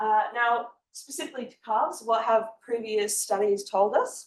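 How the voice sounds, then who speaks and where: The voice belongs to a woman. Her accent is Australian. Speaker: honours student presenter. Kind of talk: research presentation.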